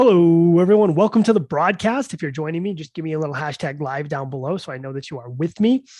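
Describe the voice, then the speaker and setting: Speaking very fast over a quiet background, a man with a fairly high pitch and a dark, mellow tone uses lively intonation and big swings in loudness. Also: hardly any pauses. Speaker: crypto market commentator. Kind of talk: livestream market update. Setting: live stream. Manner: casual, conversational.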